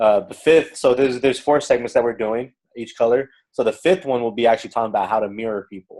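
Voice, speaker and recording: Speaking very fast, a man with a dark, mellow tone and medium pitch shows ordinary pitch variation and big swings in loudness. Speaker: business success coach. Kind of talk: interactive sales training. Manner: loud, outspoken.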